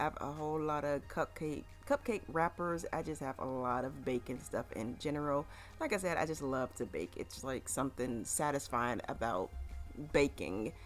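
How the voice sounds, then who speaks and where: Over music in the background, a woman speaks in a very deep, low voice. Her intonation is lively and her pace moderate. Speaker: cleaning vlogger. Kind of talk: voiceover narration. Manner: casual.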